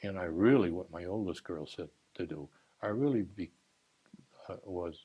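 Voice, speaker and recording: A man with an American accent speaks at a moderate pace, his tone dark and mellow and somewhat breathy. His pitch varies in an ordinary way, and he leaves long, frequent pauses. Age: 80s+. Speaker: retired teacher and school administrator. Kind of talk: oral history interview. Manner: halting.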